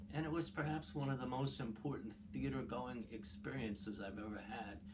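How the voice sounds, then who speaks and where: A man with a New York accent speaks with vocal fry and very wide pitch swings, and audible room echo surrounds his voice. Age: 60s. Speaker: YouTube commentator. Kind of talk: personal storytelling monologue. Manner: hesitant, many fillers.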